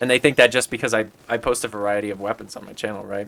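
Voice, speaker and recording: The voice moves at a fairly quick pace with a bright, sharp tone and fairly even intonation. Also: man. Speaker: gaming YouTuber. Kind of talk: casual gameplay commentary. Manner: talkative, filling dead space.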